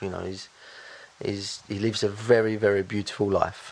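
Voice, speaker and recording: At a fairly quick pace, a man with a fairly low pitch talks over noticeable background noise. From Bosnia and Herzegovina, moved to UK as child. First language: Bosnian. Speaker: business owner. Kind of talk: interview.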